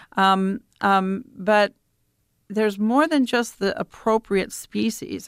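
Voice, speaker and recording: A medium-pitched woman's voice with an American accent and ordinary pitch variation, in a very clean recording with a silent background, dry and close with no echo. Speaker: prairie biologist. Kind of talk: radio interview. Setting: studio. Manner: halting.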